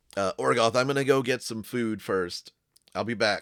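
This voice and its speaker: In a put-on character voice, a man sounds raspy at a medium pitch. He keeps a moderate pace and fairly even intonation. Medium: actual play.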